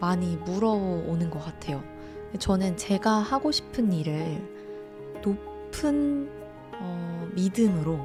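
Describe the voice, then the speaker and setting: A woman talks very slowly in a calm tone. Music plays in the background. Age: 30s. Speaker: mental-wellness channel host and essay author. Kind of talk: casual talk to camera, self-reflective talk (talk ASMR). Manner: calm, reflective, conversational, with some hesitation fillers.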